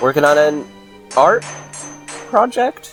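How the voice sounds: A man's cartoonish character voice, fairly high and slow, with big pitch swings over faint music in the background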